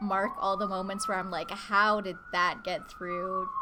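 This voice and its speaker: Medium pitch from a woman, with noticeable background noise and audible echo off the room. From Canada. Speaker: guest artist on a live stream. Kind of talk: casual live-stream chat while drawing. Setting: home, roommates present. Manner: casual, with fillers and self-corrections.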